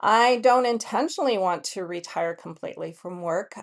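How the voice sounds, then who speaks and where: A woman speaks against a quiet background. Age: 50s. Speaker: entrepreneur and lifestyle vlogger. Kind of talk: casual reflective monologue. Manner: hesitant, many fillers; relaxed.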